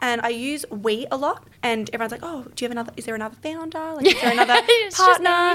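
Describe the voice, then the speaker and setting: A woman's raised, projected, high-pitched voice with an Australian accent, lively intonation, big swings in loudness, a fairly quick pace, and noticeable background noise. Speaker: podcast guest, business founder. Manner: fast talker.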